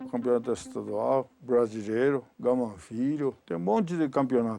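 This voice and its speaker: Speaking at a fairly slow pace, a man has a dark, mellow tone at medium pitch. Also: ordinary pitch variation. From Japan. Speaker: retired judo champion. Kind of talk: documentary interview. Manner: halting.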